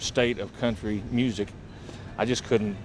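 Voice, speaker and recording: This man has an unremarkable speaking voice with an American accent. His pitch is medium and his pace moderate. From rural southern Illinois. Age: 40s. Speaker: country singer-songwriter. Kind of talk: casual interview. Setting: bar venue.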